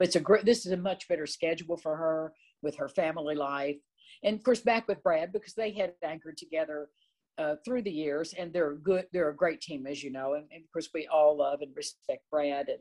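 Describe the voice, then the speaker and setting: Over a quiet background, a woman with a plain, everyday voice talks at a fairly quick pace and a fairly low pitch, with ordinary pitch variation and big swings in loudness. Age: 60s. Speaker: TV lifestyle show host. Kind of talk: interview.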